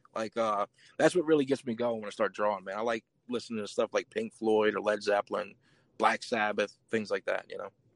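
An American-accented man speaks at a fairly quick pace with ordinary pitch variation, in a dry, close sound with no echo. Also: medium pitch for a man. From Louisiana, Chalmette. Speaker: independent artist. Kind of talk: casual chat.

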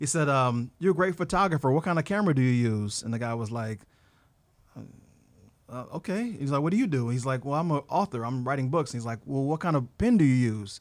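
This man has a normal speaking voice with a fairly high pitch. His intonation is lively and his pace fairly quick. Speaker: photographer. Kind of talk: casual interview chat. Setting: studio.

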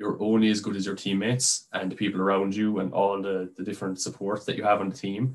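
Speaking very fast in a flat monotone, a man with a Dublin accent keeps to a fairly low pitch. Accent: Irish (Dublin). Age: 30s. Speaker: amateur American football quarterback. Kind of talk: casual interview. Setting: call.

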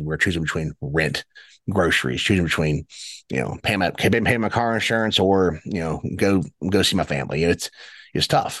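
In an Appalachian accent, a man speaks with a very deep, low pitch and ordinary pitch variation against a quiet background. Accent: Appalachian American. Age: 30s. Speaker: Senate candidate. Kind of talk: interview. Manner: halting with frequent repetitions.

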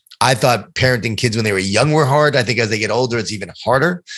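Over a silent background in a very clean recording, a man talks with a normal speaking voice. His pitch is medium and his intonation fairly even. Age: 50s. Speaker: author and motivational speaker. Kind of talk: interview.

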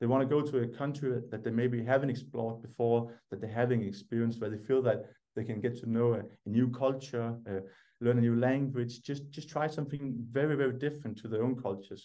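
With a Danish accent, a man speaks at a fairly quick pace in a dark, mellow tone at medium pitch with fairly even intonation. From Denmark. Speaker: ski instructor training company founder. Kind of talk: podcast interview. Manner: halting, many fillers and repeated words.

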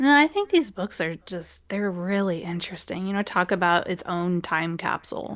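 Speaking at a moderate pace, a woman has medium pitch and ordinary pitch variation. Hers is a normal speaking voice, with hardly any pauses. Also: very clean recording, silent background. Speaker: podcast co-host. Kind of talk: casual chat. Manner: chatty, laughs often.

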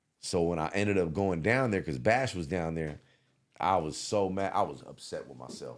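Lively intonation marks this man's speech at a moderate pace. His pitch is very deep and low, with vocal fry. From San Francisco Bay Area. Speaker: rapper. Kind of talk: interview.

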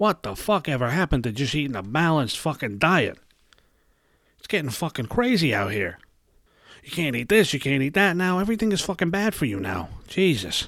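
With a New York accent, a man with a fairly high pitch and vocal fry talks at a fairly quick pace, his pitch swinging very widely. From New York City (Brooklyn). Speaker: podcast host. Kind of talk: casual rant monologue. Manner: animated.

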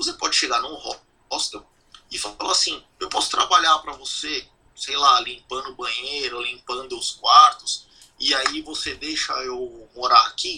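Loudness swings widely as a man speaks at a fairly slow pace. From Brazil, São Paulo. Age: 40s. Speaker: emigrant sharing experience. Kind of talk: casual interview.

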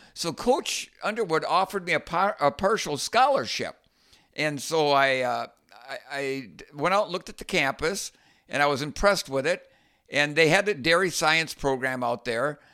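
On a very clean recording with a silent background, a man with a fairly high pitch speaks in a bright, sharp tone with lively intonation at a moderate pace. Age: 60s. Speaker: podcast co-host, former college runner. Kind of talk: casual chat.

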